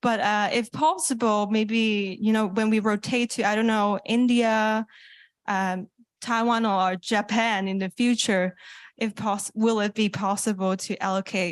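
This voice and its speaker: A woman with a fairly high pitch and fairly even intonation at a fairly slow pace, in a dry, close sound with no echo and a quiet background. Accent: Cantonese. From Hong Kong. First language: Cantonese. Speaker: youth internet governance participant. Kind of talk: open mic comment. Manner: hesitant, many fillers.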